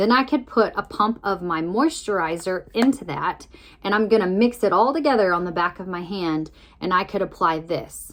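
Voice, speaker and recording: A plain, everyday voice from a woman, medium in pitch with lively intonation, on a very clean recording with a silent background. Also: moderate pace. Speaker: makeup tutorial vlogger. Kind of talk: tutorial.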